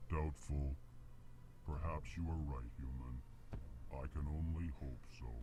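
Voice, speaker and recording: A put-on character voice at a fairly slow pace, with long, frequent pauses over loud background noise. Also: man. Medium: video game. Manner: flat, states emotion before each line.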